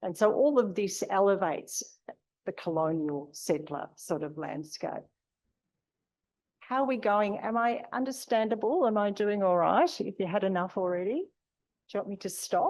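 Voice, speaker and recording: With an Australian accent, a woman of medium pitch speaks at a moderate pace with lively intonation and long, frequent pauses over a quiet background. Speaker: university lecturer. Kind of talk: lecture. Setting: lecture room with audience.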